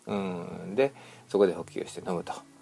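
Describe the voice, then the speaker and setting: A man speaks with music playing in the background. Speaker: podcast host on children's health. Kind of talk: casual monologue. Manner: rambling with many fillers.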